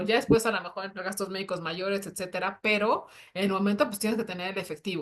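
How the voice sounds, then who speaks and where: A woman's animated, medium-pitched voice at a very fast pace. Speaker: personal finance show co-host. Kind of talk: live panel discussion.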